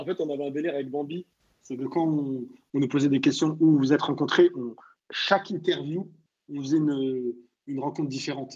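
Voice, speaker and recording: Long, frequent pauses break up a man's fairly high voice, which has fairly even intonation and big swings in loudness. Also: fairly quick pace. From France, Châteauroux (Moroccan family). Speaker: comedian. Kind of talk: casual chat. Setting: online audio room. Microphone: sound problem with his mic.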